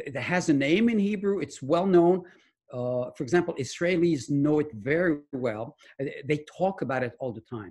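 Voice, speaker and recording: A man speaks at a moderate pace with a fairly high pitch. His voice is somewhat breathy and his intonation lively. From France. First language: French. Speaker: medical research scientist and author. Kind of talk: interview. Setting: video call.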